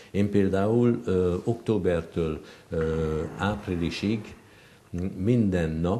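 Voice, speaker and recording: Very slowly, a man speaks in a very deep, low pitch with a dark, mellow tone. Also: ordinary pitch variation. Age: 70s. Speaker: professor. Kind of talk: casual chat. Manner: halting, many fillers.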